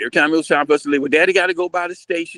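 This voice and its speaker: The sound is dry and close with no echo as a man speaks at a high pitch. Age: 60s. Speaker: business owner. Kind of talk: casual chat. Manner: halting.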